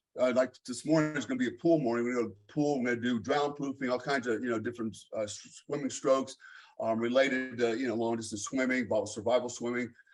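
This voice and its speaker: Over music in the background, a man with an American accent talks very fast at medium pitch. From Germany. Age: 50s. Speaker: fitness coach. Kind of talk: casual chat.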